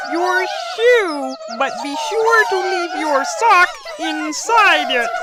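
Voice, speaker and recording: A woman's put-on character voice at an extremely high pitch, very slow in pace, amid loud background noise. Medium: audio drama. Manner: dry, knowing.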